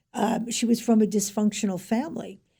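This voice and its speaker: A woman speaks at a fairly high pitch with a dark, mellow tone. Her voice is somewhat breathy. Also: very clean recording, silent background. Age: 70s. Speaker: author. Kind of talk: interview.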